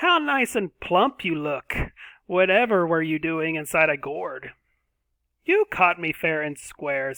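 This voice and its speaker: Putting on a character voice, a man speaks in a high pitch. His pace is fairly slow, with ordinary pitch variation. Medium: read story.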